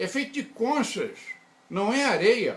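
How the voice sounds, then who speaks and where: A man speaks at a fairly slow pace in an extremely high pitch, with very wide swings in pitch and noticeable background noise. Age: 80s+. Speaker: engineer and researcher. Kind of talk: interview.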